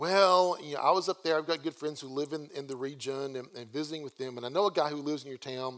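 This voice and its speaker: A man with a Southern US accent and fairly high pitch, at a very fast pace with hardly any pauses, fairly even intonation, and big swings in loudness. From US South. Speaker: guest preacher. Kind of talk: sermon. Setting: church. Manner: casual conversational.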